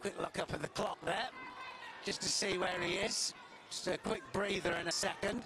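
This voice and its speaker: A high-pitched man speaks in a calm tone. His intonation is fairly even and his loudness very even. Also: moderate pace. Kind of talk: live sports commentary. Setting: arena with live crowd atmosphere. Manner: play-by-play, fluent with filler 'uh', calm and explanatory.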